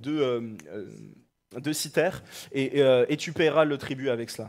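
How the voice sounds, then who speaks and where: A man speaks with an animated, warm tone. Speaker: preacher. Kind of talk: sermon. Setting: church. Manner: halting, with repeated words and fillers. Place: church. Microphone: headset.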